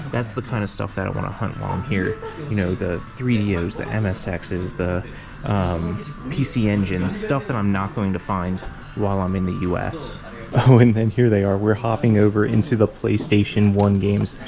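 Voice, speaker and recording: A man speaks at a fairly low pitch with ordinary pitch variation while music plays in the background. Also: moderate pace. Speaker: thrift reseller vlogger. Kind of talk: vlog walkthrough. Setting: indoors in a thrift store. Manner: casual, chatty.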